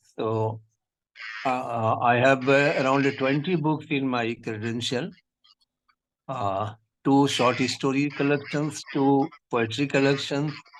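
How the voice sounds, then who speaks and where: Speaking at a very slow pace with a Pakistani accent, the voice keeps a fairly even intonation and leaves long, frequent pauses. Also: man. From India. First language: Urdu. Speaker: poet and textbook editor. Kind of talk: interview self-introduction. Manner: halting, many fillers.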